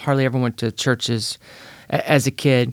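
Here a man speaks at a medium pitch. His tone is energetic. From Northern California (Petaluma). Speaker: evangelist. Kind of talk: podcast interview.

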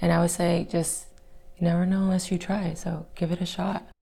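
A woman with an American accent talks at a fairly quick pace in a fairly low pitch with vocal fry. Her tone is dark and mellow, and her intonation is monotone and flat. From Texas, Fort Worth. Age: young. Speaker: salesperson, former dental hygienist. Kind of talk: interview.

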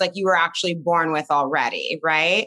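A raspy woman's voice, low in pitch, with a bright, sharp tone, moderate pace and ordinary pitch variation

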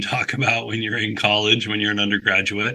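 There is noticeable noise in the background. A man talks at a medium pitch. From Northern California, Humboldt County. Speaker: climate nonprofit director. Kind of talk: interview.

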